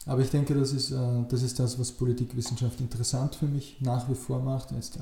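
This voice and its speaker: A man talks in a monotone, flat way at medium pitch. His tone is dark and mellow, and somewhat breathy. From Upper Austria, rural. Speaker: political scientist. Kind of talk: interview. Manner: hesitant, many filler sounds.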